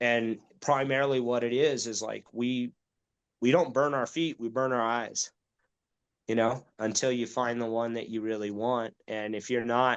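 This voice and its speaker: Against a quiet background, a man with an unremarkable speaking voice talks at a moderate pace. His pitch sits at a medium level with fairly even intonation. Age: 40s. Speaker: outdoor nonprofit leader and hunting guide. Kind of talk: casual interview chat.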